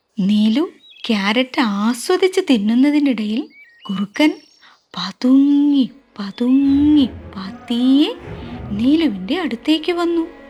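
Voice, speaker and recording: Backed by music, a woman speaks in a high pitch with lively intonation and very even loudness. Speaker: storyteller. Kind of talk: children's story narration.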